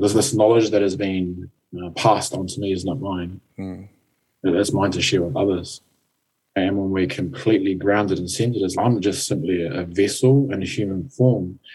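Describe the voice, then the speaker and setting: Calm in tone and somewhat breathy, a man with a New Zealand accent speaks at a moderate pace in a fairly low voice with a dark, mellow tone and ordinary pitch variation. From New Zealand, Napier. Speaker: life coach and mentor. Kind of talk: interview.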